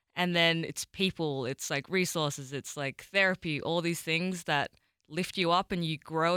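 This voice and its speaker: A woman with an Australian accent, fairly low in pitch and bright, sharp in tone, at a moderate pace with fairly even intonation, in a very clean, dry, close recording with no echo and a silent background. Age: 20s. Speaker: world record holder. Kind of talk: interview conversation.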